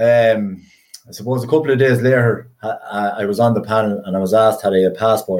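Speaking in an Irish Midlands accent, a man goes at a fairly quick pace with a medium pitch. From Ireland, County Westmeath. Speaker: retired inter-county hurler. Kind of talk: casual interview. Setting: remote podcast recording.

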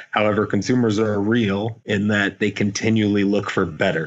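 With an American accent, a man speaks at a fairly quick pace in a fairly low pitch with monotone, flat intonation. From US Midwest, Indiana. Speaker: company founder and CEO. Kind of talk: interview.

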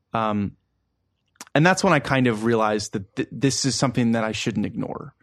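A man with an American accent speaks at medium pitch and a moderate pace. His pitch varies in an ordinary way, and the sound is dry and close with no echo. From Baltimore, US. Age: 20s. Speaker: musician and producer. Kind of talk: casual interview. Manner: halting, many fillers.

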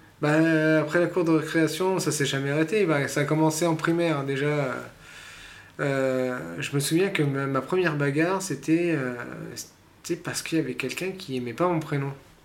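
Pausing long and often, a man with a fairly high voice talks at a moderate pace and fairly even intonation, amid noticeable background noise and audible room echo. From born abroad, moved to France as a child. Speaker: personal development coach. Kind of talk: interview. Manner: halting.

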